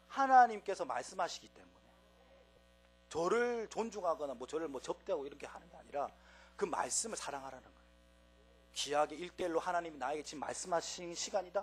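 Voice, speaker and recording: A high-pitched man talks very fast with lively intonation and big swings in loudness, yet leaves long, frequent pauses. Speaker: preacher. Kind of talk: sermon.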